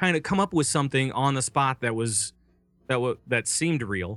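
A man with an American accent, a plain, everyday voice, fairly high pitch, lively intonation and moderate pace, on a very clean recording with a silent background. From Minnesota. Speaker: voice actor and podcast network founder. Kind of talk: casual interview.

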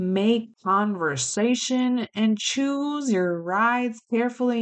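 An animated woman talks at a fairly high pitch with ordinary pitch variation. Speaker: podcast host and children's book author. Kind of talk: casual solo podcast monologue. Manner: animated, laughs often.

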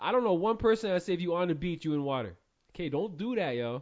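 A man's high voice at a fairly quick pace, its pitch swinging very widely. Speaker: podcast co-host. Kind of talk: casual chat.

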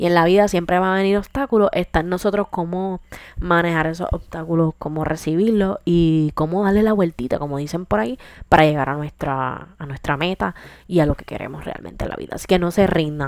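In a very clean recording with a silent background, a woman with an unremarkable speaking voice and a fairly low pitch talks at a fairly quick pace. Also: ordinary pitch variation. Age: 20s. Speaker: podcast host. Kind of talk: casual monologue. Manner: casual, code-switching with English.

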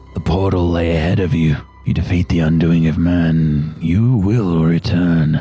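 Over faint music in the background, a man uses a put-on character voice at a very deep, low pitch. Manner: menacing, imperious.

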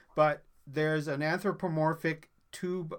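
In a very clean recording with a silent background, a man with a plain, everyday voice speaks at a fairly slow pace with fairly even intonation. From Newfoundland, Canada. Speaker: food podcaster. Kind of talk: casual chat.

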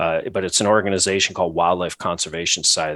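A man with an American accent and a plain, everyday voice speaks at a fairly low pitch with ordinary pitch variation, the sound dry and close with no echo in a very clean recording with a silent background. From New England, US Northeast. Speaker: hunter. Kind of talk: casual interview.

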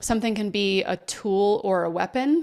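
On a very clean recording with a silent background, a woman with an American accent and a plain, everyday voice speaks at a fairly slow pace, her medium pitch showing ordinary variation. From Texas. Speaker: podcaster. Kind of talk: interview conversation.

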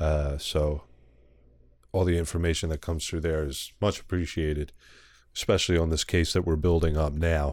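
A man with an American accent speaks at a moderate pace in a very deep, low voice with monotone, flat intonation and long, frequent pauses. The recording is very clean with a silent background. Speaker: podcast host. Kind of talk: casual chat. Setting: recording at night with a dog present.

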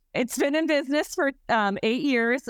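The intonation is lively. The recording is very clean with a silent background and a dry, close sound with no echo. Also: woman. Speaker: goat yoga business owner and aspiring comedian. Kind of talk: casual interview. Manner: animated, jokey.

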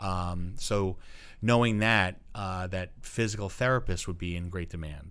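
A man with an American accent talks at a fairly slow pace in a very deep, low voice. His pitch varies in an ordinary way, and room echo is audible. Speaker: high school English teacher. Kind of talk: casual interview. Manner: loud.

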